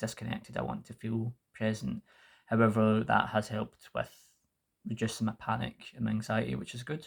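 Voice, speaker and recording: At a moderate pace, a man with a medium pitch and ordinary pitch variation speaks with vocal fry. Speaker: mental health vlogger. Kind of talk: personal vlog update. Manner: halting, with fillers.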